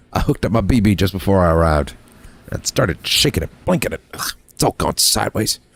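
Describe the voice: Someone reads a text out loud. It is plain reading aloud.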